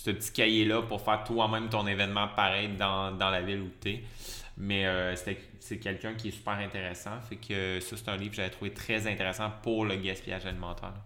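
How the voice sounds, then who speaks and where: A man with a Quebec accent talks at a fairly quick pace in a fairly low pitch, with monotone, flat intonation. Audible room echo surrounds his voice. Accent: Québécois French. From Quebec (Lévis, south shore of Quebec City). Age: 30s. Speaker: cook and food-waste nonprofit co-founder. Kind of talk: interview. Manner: hesitant with many fillers.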